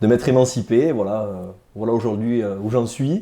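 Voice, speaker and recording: In a dark, mellow tone, a man speaks at a fairly quick pace with ordinary pitch variation. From Hautes-Pyrénées, southwest France. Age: 30s. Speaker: rugby player. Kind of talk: interview. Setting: studio.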